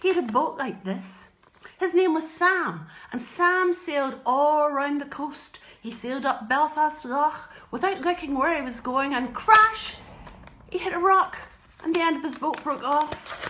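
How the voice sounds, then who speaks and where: Her voice is raised and projected, a woman's at high pitch with lively intonation. She goes at a fairly slow pace over light background noise. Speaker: storyteller. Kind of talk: children's storytelling. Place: home room. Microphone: phone near.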